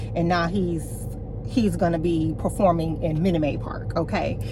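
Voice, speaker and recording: Moderately paced speech from a woman, set against noticeable background noise and audible room echo. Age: 40s. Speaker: lifestyle vlogger. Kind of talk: casual vlog talk to camera. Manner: animated.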